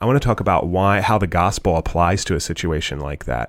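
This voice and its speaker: On a very clean recording with a silent background, a man with a very deep, low pitch talks at a fairly quick pace in an American accent, his intonation lively. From United States. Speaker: co-host and pastor. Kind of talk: casual podcast discussion.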